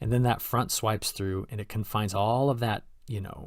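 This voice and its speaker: A somewhat breathy man with a fairly low pitch is heard on a very clean recording with a silent background. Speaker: weather forecaster. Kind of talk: weather forecast presentation. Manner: fast; animated.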